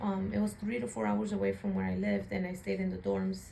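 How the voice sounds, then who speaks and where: With an American accent, a woman speaks at a fairly quick pace over noticeable background noise, and the room echo is audible. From Chicago area, US Midwest. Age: 20s. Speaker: interviewee. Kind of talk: interview.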